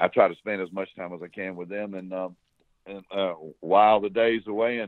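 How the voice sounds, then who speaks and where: A man with an American accent has a fairly low pitch. He talks at a moderate pace with fairly even intonation. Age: 60s. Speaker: former smuggler. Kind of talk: interview. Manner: halting.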